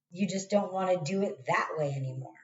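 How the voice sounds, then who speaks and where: The voice shows vocal fry along with very wide swings in pitch. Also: woman. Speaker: tarot reader. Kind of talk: tarot reading monologue. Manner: casual, conversational; halting, repeats words.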